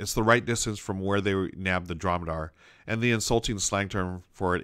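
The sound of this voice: It is an unforced reading voice. That is all it offers.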